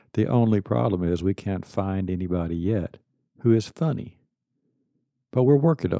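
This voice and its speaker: Against a quiet background, a man with a fairly low pitch and dark, mellow tone speaks at a moderate pace, pitch swinging very widely, with long, frequent pauses. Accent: East Texas. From Texas (Kilgore, East Texas). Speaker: podcast host. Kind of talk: podcast monologue. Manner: casual.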